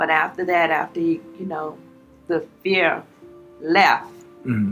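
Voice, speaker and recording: With music playing behind her, a woman of fairly low pitch speaks at a fairly slow pace with lively intonation and a Southern US accent. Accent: Southern American. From Charlottesville, Virginia. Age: 80s+. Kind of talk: interview answer.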